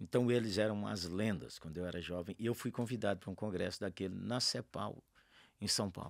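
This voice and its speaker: A man's fairly low voice with vocal fry, a fairly quick pace and ordinary pitch variation, on a very clean recording with a silent background. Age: 60s. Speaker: pastor. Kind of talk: podcast interview. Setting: studio.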